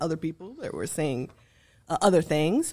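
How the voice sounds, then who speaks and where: This woman's voice sits fairly low in pitch and moves with ordinary pitch variation. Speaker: professor of applied linguistics. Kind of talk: interview. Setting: studio. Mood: reflective, calm storytelling. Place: studio. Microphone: studio mic.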